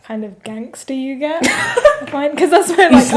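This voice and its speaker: Delivered at a moderate pace in an East London accent, the speech carries lively intonation. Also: woman. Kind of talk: posh, well-spoken.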